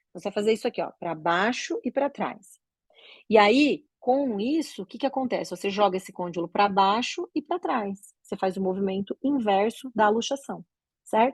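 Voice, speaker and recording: A woman speaks in a plain, everyday voice at a fairly high pitch, with lively intonation and a moderate pace. The sound is dry and close with no echo, against a quiet background. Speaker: oral and maxillofacial surgeon teaching doctors. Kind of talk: lecture.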